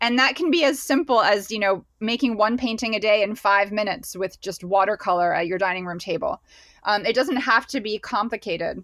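Showing ordinary pitch variation, an unremarkable speaking voice keeps a fairly quick pace. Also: woman, fairly high pitch for a woman. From Pennsylvania, US. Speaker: painter and creative guide. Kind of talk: casual interview chat.

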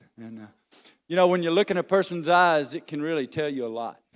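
Loud and at a fairly quick pace, a man talks with a fairly high pitch and lively intonation, the sound dry and close with no echo. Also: very clean recording, silent background. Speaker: lay preacher. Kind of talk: sermon. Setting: church. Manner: animated.

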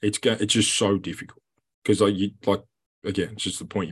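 A man speaks with an Australian accent at a fairly low pitch. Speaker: rugby player. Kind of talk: casual chat. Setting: video call.

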